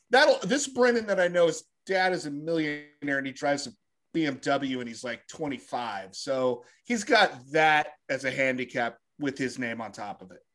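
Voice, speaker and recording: A man's normal speaking voice, fairly high in pitch, with lively intonation, big swings in loudness and a fairly slow pace, on a very clean recording with a silent background. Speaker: podcast co-host. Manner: jokey, playful.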